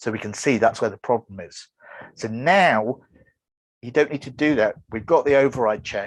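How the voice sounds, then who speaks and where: Against a quiet background, a man talks at a moderate pace with big swings in loudness and ordinary pitch variation. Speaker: web developer giving a conference talk; presenter. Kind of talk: online conference presentation. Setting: video call. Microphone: video call.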